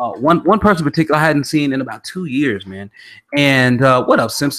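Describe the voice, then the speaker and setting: Talking at a very fast pace, a man with a fairly high pitch sounds animated. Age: 30s. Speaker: podcast host. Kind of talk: casual chat.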